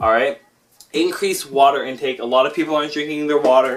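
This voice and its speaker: Noticeable background noise fills the clip. Over it, a man talks with ordinary pitch variation. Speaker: fitness and gaming youtuber. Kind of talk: lecture. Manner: fast.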